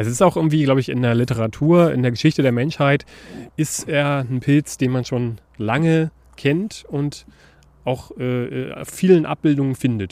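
This man has a normal speaking voice, a medium pitch, ordinary pitch variation and a moderate pace. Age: 30s. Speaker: podcast host. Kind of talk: casual chat.

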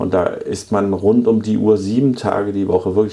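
A man speaks at a moderate pace. His voice is fairly low in pitch. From Denmark. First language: Danish (speaking German). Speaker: city mayor and furniture entrepreneur. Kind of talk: podcast interview.

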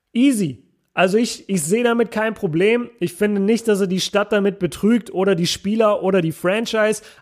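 Animated in tone, a man speaks at a fairly quick pace with high pitch and ordinary pitch variation, on a very clean recording with a silent background. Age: 20s. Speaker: basketball podcaster. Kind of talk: casual solo commentary.

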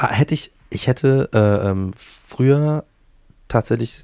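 The recording is very clean with a silent background, dry and close with no echo. A man speaks in a dark, mellow tone with ordinary pitch variation. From Bavaria. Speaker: musician and author. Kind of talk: casual interview. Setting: home studio. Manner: hesitant with many fillers.

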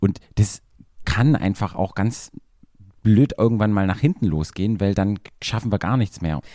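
A man talks at a moderate pace in a dark, mellow tone. His speech is broken by long, frequent pauses. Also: ordinary pitch variation, dry, close sound with no echo, very clean recording, silent background. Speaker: sex therapist. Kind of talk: casual interview.

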